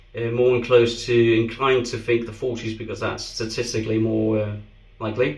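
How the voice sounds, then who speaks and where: Fairly quick, monotone, flat speech in a Danish accent, with noticeable background noise and audible room echo. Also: man, medium pitch for a man. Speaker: shaving video creator. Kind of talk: product review. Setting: bathroom.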